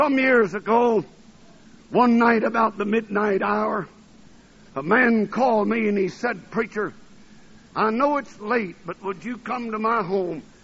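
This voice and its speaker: The speech moves at a very slow pace with ordinary pitch variation, and background noise is noticeable. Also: man. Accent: American. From US South, Alabama. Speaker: preacher. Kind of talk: sermon. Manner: fervent.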